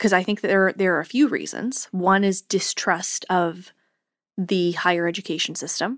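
A woman with an unremarkable speaking voice talks at a medium pitch and a moderate pace. Her pitch variation is ordinary, and the recording is very clean with a silent background. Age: 20s. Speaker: podcast co-host, former homeschooled student. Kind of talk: casual chat.

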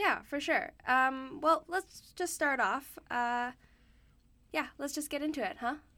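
A woman's high, bright, sharp voice, raised and projected, at a very slow pace with ordinary pitch variation, on a very clean recording with a silent background. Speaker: student podcast host. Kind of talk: casual chat.

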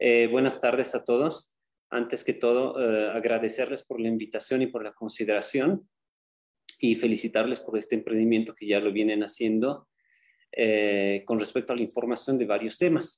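At a moderate pace, a man speaks in an unremarkable speaking voice with a medium pitch and fairly even intonation. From Bolivia. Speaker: medical doctor, cancer specialist. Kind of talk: lecture. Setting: video call.

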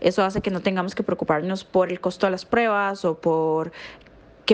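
A woman speaks in an ordinary speaking voice at a medium pitch. Her pace is fairly quick. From Costa Rica. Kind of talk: voice message.

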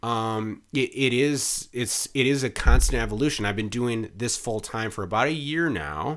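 A man with an American accent talks at a moderate pace, with hardly any pauses, in a plain, everyday voice. His pitch sits in the medium range with ordinary variation, and the recording is very clean over a silent background. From Wisconsin, Mukwonago near Milwaukee. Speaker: PR and marketing consultant. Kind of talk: casual interview chat.

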